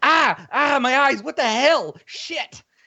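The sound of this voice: A man's put-on character voice, extremely high in pitch and delivered at a fairly slow pace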